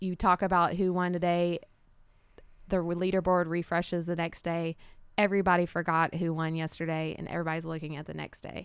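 On a very clean recording with a silent background, a woman with a fairly low pitch talks in a monotone, flat intonation. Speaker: fitness coach. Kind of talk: casual interview chat.

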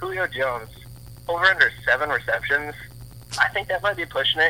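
A man talks at a fairly quick pace. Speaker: sports betting guest. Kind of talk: casual sports betting chat.

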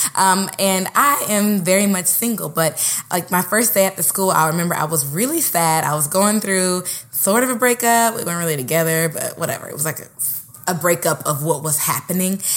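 Over noticeable background noise, a woman speaks at a fairly quick pace and medium pitch with ordinary pitch variation. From Oakland, California. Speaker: podcast co-host, actress and teaching artist. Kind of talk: casual chat. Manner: animated.

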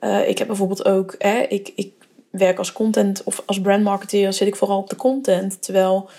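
Medium pitch and a moderate pace from a woman with an ordinary speaking voice. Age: 20s. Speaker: brand marketer and podcast host. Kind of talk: solo podcast monologue. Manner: casual with many filler words.

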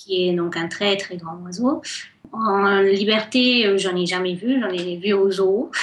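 A woman at a very slow pace, medium in pitch with ordinary pitch variation. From Colombia, Cali. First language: Spanish (speaking French). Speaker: guest. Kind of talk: radio interview.

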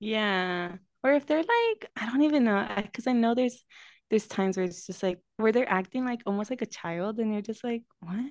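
A normal speaking voice proceeds at a moderate pace with ordinary pitch variation over a quiet background. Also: woman, fairly high pitch for a woman. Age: 20s. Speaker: podcast co-host. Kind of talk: casual chat. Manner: laughs often, chatty.

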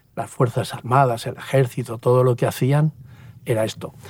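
A man at medium pitch, fairly slow and somewhat breathy. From Spain, Valencia region (Puerto de Sagunto). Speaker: pastor and former army helicopter pilot. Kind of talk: interview testimony. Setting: outdoors at a mountain helipad.

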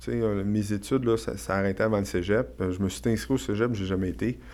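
A man's fairly low voice at a moderate pace. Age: 40s. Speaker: real estate investor and entrepreneur. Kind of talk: casual interview. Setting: studio.

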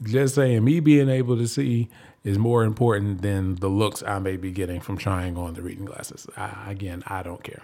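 A man with a plain, everyday voice, pitched fairly low and with ordinary pitch variation. He talks at a moderate pace, and his loudness swings a lot. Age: 30s. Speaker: podcast host. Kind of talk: casual monologue.

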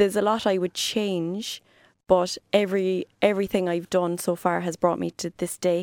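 A woman with a Cork accent, fairly low-pitched, monotone and flat, at a fairly slow pace, in a dry, close recording with no echo and a very clean, silent background. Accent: Cork Irish. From Ireland, Cork. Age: 30s. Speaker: fitness trainer. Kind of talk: casual chat. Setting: studio.

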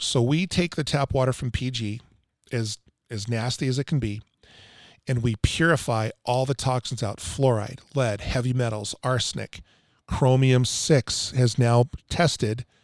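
A man with a plain, everyday voice talks at a moderate pace in a medium pitch with ordinary pitch variation, the very clean recording dry and close with no echo over a silent background. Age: 50s. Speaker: water treatment salesman. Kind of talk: casual chat.

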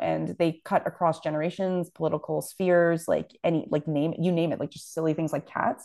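Over a quiet background, a woman with a Canadian accent rattles along at a very fast pace with hardly any pauses. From Toronto, Canada (Scarborough). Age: young. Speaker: journalist and news publisher. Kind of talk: interview.

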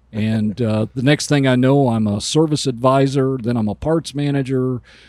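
A man's plain, everyday voice, moderate in pace with fairly even intonation, on a very clean recording with a silent background and a dry, close sound with no echo. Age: 60s. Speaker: automotive industry consultant. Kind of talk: casual interview. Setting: recording on a bus.

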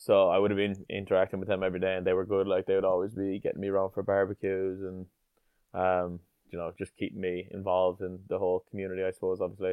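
With an Irish accent, a man talks at a very fast pace in a very deep, low pitch and monotone, flat intonation. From Ireland, Tipperary. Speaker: rugby player. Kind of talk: interview. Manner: hesitant, many fillers.

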